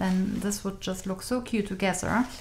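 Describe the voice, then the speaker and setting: A woman's medium-pitched voice in a German accent, with light background noise. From Germany. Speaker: craft store owner. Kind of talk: product review. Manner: enthusiastic. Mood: enthusiastic, friendly.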